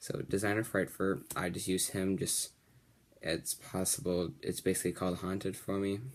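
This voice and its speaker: A man mumbles in a very deep, low voice. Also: moderate pace. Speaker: card game video creator. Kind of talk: deck profile tutorial. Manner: may mumble a little.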